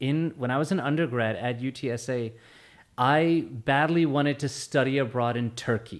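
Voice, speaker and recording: This is a man with a medium-pitched voice. The recording is very clean, with a silent background. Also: moderate pace. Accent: American. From Texas, San Antonio. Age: 40s. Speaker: former political candidate. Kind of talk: podcast interview. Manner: halting, with many restarts.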